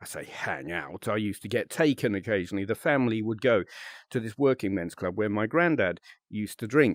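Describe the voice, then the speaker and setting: On a very clean recording with a silent background and a dry, close sound with no echo, a man with a British accent speaks fairly quickly in a fairly low voice with lively intonation. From UK. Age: 50s. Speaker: VRChat content creator. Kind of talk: casual monologue to camera. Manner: halting, many fillers.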